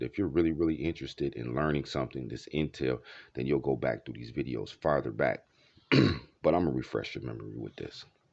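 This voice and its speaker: A man with a very deep, low pitch and vocal fry speaks at a fairly quick pace with ordinary pitch variation. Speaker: video blogger. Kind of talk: casual monologue.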